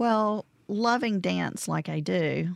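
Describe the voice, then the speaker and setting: A woman's fairly low voice with a Southern US accent, dry and close with no echo, on a very clean recording against a silent background. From Mississippi (Vicksburg area). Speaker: arts organization director. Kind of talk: radio interview. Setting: studio.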